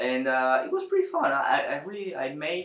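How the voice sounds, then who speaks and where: A man speaks with a Spanish accent, and audible room echo surrounds his voice. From Dominican Republic. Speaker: youtuber. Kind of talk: personal vlog monologue. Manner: halting, with many fillers and repetitions.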